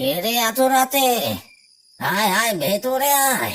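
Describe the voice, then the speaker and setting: At a fairly slow pace, a cartoonish character voice speaks in a fairly high pitch. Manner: deferential, warning.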